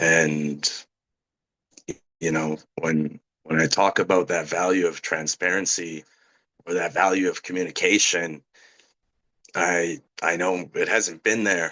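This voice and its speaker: A man talks at a fairly slow pace in a very deep, low voice. His intonation stays fairly even, with long, frequent pauses. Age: 30s. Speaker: council candidate. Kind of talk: campaign speech. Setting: community meeting. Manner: loud.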